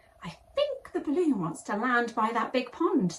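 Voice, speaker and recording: A woman adopts a put-on character voice, pitched high, at a moderate speed. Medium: read story.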